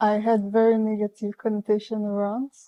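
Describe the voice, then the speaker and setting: A woman speaks at medium pitch with a dark, mellow tone. The sound is dry and close with no echo. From Belgium. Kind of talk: casual couple conversation, relationship podcast.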